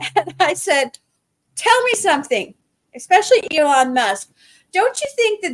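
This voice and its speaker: In a quiet background, a woman with an American accent talks at a fairly slow pace with very wide pitch swings. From outside the US. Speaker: spiritual podcast co-host. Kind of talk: casual chat. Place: home room.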